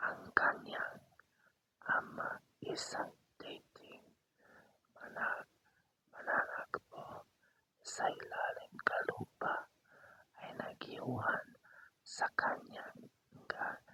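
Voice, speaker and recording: A whisper delivered at a very slow pace, broken by long, frequent pauses. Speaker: storyteller. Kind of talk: sleep story / ASMR storytelling. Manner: whispered, soft.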